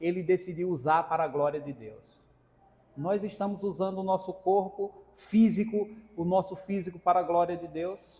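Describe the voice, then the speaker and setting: A man's high-pitched speech with ordinary pitch variation. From Brazilian sertão (Northeast Brazil interior). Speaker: preacher. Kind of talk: sermon. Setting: church.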